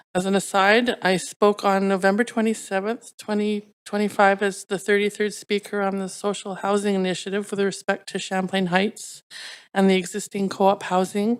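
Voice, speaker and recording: In a very clean recording with a silent background, a woman at medium pitch speaks at a moderate pace with monotone, flat intonation. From Vancouver, Canada. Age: 60s. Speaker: public hearing speaker. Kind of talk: public hearing testimony. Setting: council chambers. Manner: formal.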